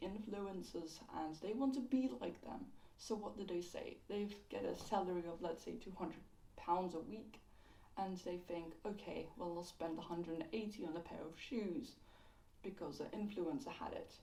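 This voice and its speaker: Audible room echo surrounds a woman speaking at a moderate pace with lively intonation. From London. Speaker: YouTube commentator. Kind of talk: casual video commentary. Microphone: poor audio quality.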